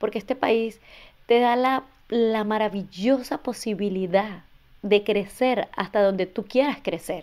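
An ordinary speaking voice from a woman, fairly high in pitch with ordinary pitch variation and a fairly slow pace, in a very clean recording against a silent background. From Venezuela, border state near Colombia. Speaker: immigration and tax services business owner. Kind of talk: interview.

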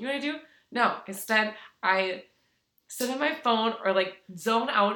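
Using a bright, sharp, animated voice at a fairly high pitch, a woman speaks with long, frequent pauses. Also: ordinary pitch variation, moderate pace. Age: 30s. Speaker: podcast co-host. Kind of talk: casual chat. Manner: animated, laughing.

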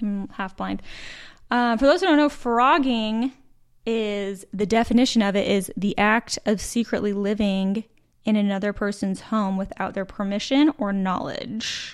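A woman talks in a normal speaking voice with an American accent, pitched fairly high. Her pace is fairly slow, and her pitch variation is ordinary. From Utah. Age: 30s. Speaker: podcast co-host. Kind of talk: casual chat.

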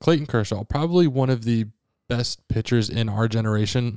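A man of medium pitch talks very fast with ordinary pitch variation. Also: very clean recording, silent background. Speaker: podcast co-host, sports history. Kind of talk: casual chat, sports talk podcast.

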